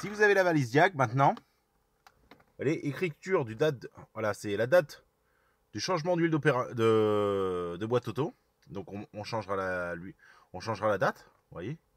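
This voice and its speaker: Here a man's medium-pitched voice swings very widely in pitch at a moderate pace, broken by long, frequent pauses. The sound is dry and close, with no echo. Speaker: car mechanic youtuber. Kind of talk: tutorial. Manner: loud.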